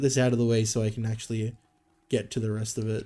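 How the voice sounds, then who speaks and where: Over music in the background, a man speaks at a medium pitch and a fairly quick pace. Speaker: gaming streamer. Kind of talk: casual livestream commentary. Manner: casual, filler-heavy.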